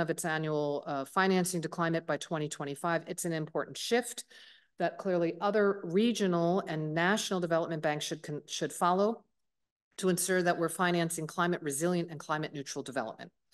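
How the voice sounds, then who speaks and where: This woman has an unremarkable speaking voice, pitched fairly low. She talks at a fairly quick pace with fairly even intonation. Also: quiet background. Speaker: government climate envoy. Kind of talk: policy speech.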